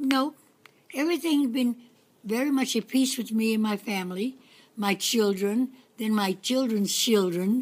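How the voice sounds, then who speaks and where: A woman talks at a fairly slow pace with a fairly high pitch. Her voice is somewhat breathy, broken by long, frequent pauses. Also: ordinary pitch variation. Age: 80s+. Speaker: grandmother. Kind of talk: casual conversation. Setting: outdoors. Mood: warm, nostalgic, humorous. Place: garden. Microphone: phone near.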